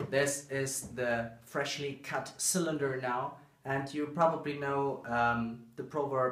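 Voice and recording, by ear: A man's fairly bright, medium-pitched voice in strong room echo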